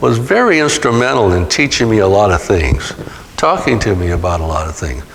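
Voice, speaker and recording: In an American accent, a man speaks amid noticeable background noise and audible room echo. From California (Stockton). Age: 70s. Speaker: author. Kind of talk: interview Q&A. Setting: museum talk with audience. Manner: halting, many fillers.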